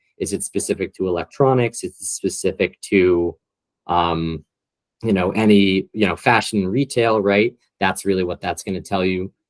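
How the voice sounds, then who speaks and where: Delivered at a fairly quick pace, the speech sits on a very clean recording with a silent background. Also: man, dry, close sound with no echo. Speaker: corporate trainer presenting competitive intelligence. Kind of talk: training presentation. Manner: fast; casual with many filler words.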